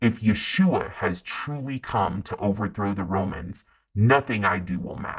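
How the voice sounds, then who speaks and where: Over a quiet background, a man does a growling, put-on character voice at a fairly low pitch and a moderate pace. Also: ordinary pitch variation. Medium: read story. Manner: muttering, resentful.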